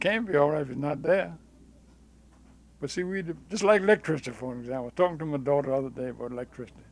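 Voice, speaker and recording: A man with an American accent and a fairly high pitch, very fast pace, long and frequent pauses, lively intonation and big swings in loudness. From US South, Southern Maryland (St. Mary's County). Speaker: oral history interviewee. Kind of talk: oral history interview. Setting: at his home.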